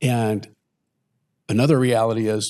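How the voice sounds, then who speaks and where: This man speaks at a fairly low pitch. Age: 60s. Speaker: retired father, podcast co-host. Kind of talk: casual conversation; scripted intro. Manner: hesitant, reflective.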